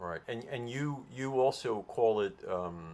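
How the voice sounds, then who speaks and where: In a normal speaking voice, a man with an American accent talks at a moderate pace with lively intonation. The recording is very clean, with a silent background. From Brooklyn, New York. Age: 60s. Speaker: interviewer. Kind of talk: interview.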